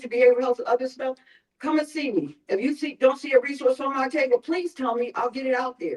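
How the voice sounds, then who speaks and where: Delivered very fast with a Philadelphia accent, the speech has an animated tone and a dry, close sound with no echo. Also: woman. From North Philadelphia. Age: old. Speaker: mental health outreach worker. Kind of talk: town hall presentation. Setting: church town hall with audience.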